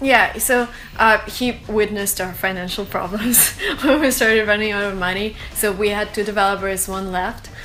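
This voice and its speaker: A woman with a Russian accent and fairly even intonation, over noticeable background noise. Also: medium pitch for a woman, moderate pace. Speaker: startup co-founder. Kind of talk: interview. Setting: studio.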